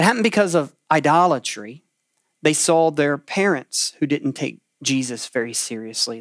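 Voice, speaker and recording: A plain, everyday voice from a man, fairly high in pitch, with ordinary pitch variation at a moderate pace, in a dry, close, very clean recording with no echo and a silent background. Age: 40s. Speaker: pastor. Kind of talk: sermon. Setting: room preaching to a camera, livestream.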